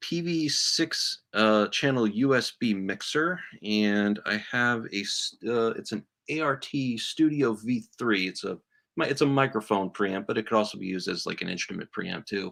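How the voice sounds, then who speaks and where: The speaker talks at a fairly slow pace. The intonation is lively. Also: man. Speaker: YouTuber doing equipment repair videos. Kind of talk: live stream equipment test chat. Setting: home studio live stream. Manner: halting, many fillers and restarts.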